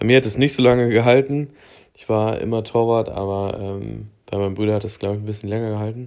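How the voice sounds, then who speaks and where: A man's fairly low voice races along at a very fast pace, its intonation fairly even. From southern Thuringia, near Bavarian border. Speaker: podcast host. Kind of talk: casual solo monologue. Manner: casual with many fillers.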